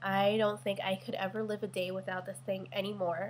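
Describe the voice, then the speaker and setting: A somewhat breathy woman speaks with monotone, flat intonation. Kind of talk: casual product review to camera.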